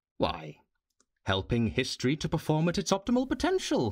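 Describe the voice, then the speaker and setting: A man puts on a character voice, fairly high in pitch, at a moderate pace. He cackles along the way. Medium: audio drama. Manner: gleeful, cackling.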